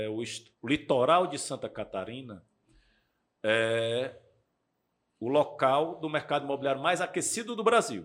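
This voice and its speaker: A man speaks at a fairly slow pace with a fairly high pitch. His pitch swings very widely, and he leaves long, frequent pauses. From Brazil, Ceará (Fortaleza). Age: 40s. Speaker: real estate developer and investor. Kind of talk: interview, casual podcast chat.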